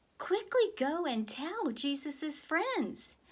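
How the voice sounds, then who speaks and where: A put-on character voice moves at a very slow pace. Its pitch swings very widely. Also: woman, extremely high pitch for a woman. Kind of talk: children's Bible story reading. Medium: read story.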